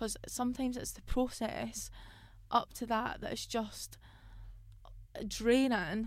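A woman with a Scottish accent speaks at a very slow pace in a monotone, flat intonation. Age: 20s. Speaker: independent musician and podcast host. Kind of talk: casual monologue.

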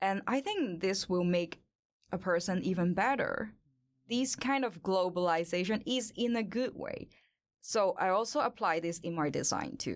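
With a Hong Kong accent, a woman speaks at a moderate pace in a medium pitch, her intonation lively, on a very clean recording with a silent background. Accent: Hong Kong Cantonese-accented English. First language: Cantonese. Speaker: industrial designer and model. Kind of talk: casual interview. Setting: studio.

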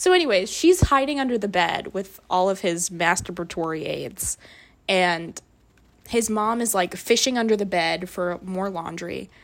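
A woman speaks in an unremarkable speaking voice. Her medium pitch shows ordinary variation, and her pace is moderate. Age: 20s. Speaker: podcast co-host. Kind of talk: casual chat.

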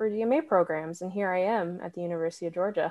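A woman talks at a fairly quick pace and medium pitch in a normal speaking voice, her intonation fairly even. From New Hampshire, US. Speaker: doctoral music student and conductor. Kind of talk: casual interview.

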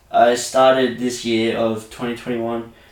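A man at a medium pitch with an Australian accent, amid noticeable background noise and audible room echo. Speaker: podcast host. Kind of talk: casual chat.

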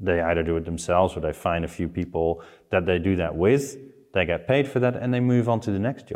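With a Dutch accent, a man speaks at a fairly quick pace in a very deep, low pitch with lively intonation. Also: quiet background. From Netherlands. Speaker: online community expert. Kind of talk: casual interview.

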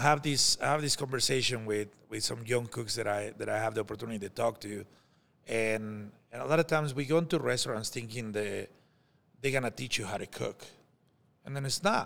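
In a Mexican accent, a man talks at a fairly quick pace with a medium pitch. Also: ordinary pitch variation. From Mexico. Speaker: chef. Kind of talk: casual chat.

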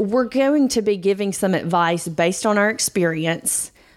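In a normal speaking voice, a woman talks at a moderate pace with lively intonation on a very clean recording with a silent background. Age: 40s. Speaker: podcast co-host. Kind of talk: casual chat. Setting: studio.

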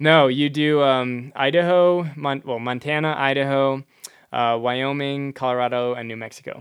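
With an American accent and a normal speaking voice, a man of fairly high pitch speaks at a moderate pace with fairly even intonation. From rural Wisconsin, US Midwest. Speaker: inventor and entrepreneur. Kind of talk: casual chat.

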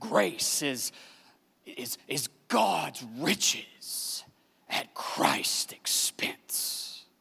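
A man puts on a character voice that sounds raspy. He speaks at a very slow pace. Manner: preaching, emphatic.

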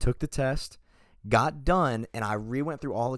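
The clip carries an ordinary speaking voice with ordinary pitch variation, recorded very cleanly against a silent background. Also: man. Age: young. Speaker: podcast co-host, college student. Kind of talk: casual chat.

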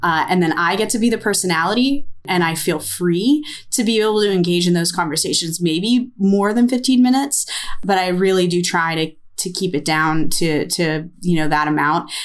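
A woman with a normal speaking voice and an American accent talks at a moderate pace and medium pitch with lively intonation. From United States. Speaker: ceramicist and podcast co-host. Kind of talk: casual chat.

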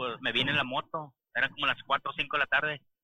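Pitched fairly high, this man talks at a moderate pace. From interior of Mexico. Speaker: truck driver. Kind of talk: casual chat. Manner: halting.

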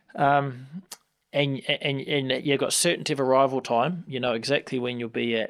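A man with a New Zealand accent at a medium pitch and fairly quick pace, with ordinary pitch variation, in a very clean recording with a silent background. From New Zealand, Hamilton. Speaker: member of parliament. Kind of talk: interview. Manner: halting, many repetitions and fillers.

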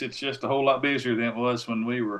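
A man with a Tennessee accent and a medium pitch. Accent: Southern US (Tennessee). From Tennessee, near Nashville. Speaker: professional hunter and outdoor TV producer. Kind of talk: casual chat.

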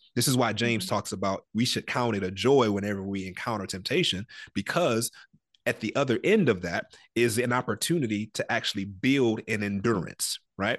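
With an American accent and an unremarkable speaking voice, a man talks at a fairly quick pace and medium pitch with ordinary pitch variation, his sound dry and close with no echo over a quiet background. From Detroit, Michigan. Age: 30s. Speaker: ministry founder. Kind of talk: interview, personal testimony.

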